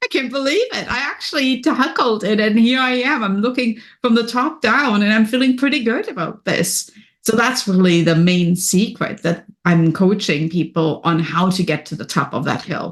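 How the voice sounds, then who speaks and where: A woman with a German accent talks at a moderate pace with hardly any pauses. Her somewhat breathy, fairly high voice makes very wide pitch swings. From Germany. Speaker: business and wellness coach. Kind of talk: podcast interview. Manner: energetic.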